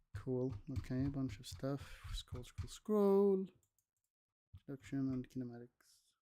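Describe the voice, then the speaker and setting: Soft-spoken, with a dark, mellow tone, the voice moves at a moderate pace through very wide pitch swings and long, frequent pauses. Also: man, medium pitch for a man. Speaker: student streamer. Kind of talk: casual livestream study session. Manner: casual, hesitant. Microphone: no mic arm, mic gain adjusted.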